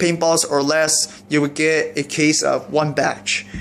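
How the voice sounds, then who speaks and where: A man speaks at a very slow pace. His pitch is high, with fairly even intonation. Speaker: YouTuber reviewing paintball gear. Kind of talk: unboxing video. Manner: halting, self-described stuttering; casual, rambling delivery.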